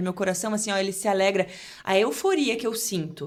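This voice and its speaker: A woman at a fairly quick pace. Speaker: journalist and TV presenter. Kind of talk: casual podcast interview. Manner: fast; articulate.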